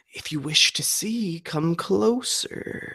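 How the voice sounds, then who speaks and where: A whispered, put-on character voice moves at a very slow pace. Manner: whispering.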